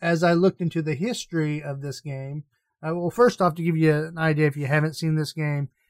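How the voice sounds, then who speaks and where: A plain, everyday voice belongs to a man speaking at a fairly quick pace with a fairly high pitch. His intonation stays fairly even, and the sound is dry and close with no echo. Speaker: gaming podcast host. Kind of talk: casual chat.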